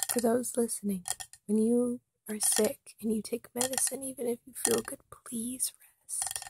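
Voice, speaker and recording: Whispering, a man speaks at a fairly slow pace. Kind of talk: ASMR whisper ramble. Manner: whispered.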